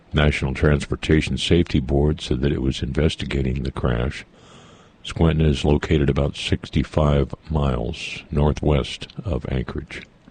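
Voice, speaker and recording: Against noticeable background noise, a man speaks at a moderate pace in a very deep, low pitch with monotone, flat intonation. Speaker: radio morning host. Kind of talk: radio news read. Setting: radio studio.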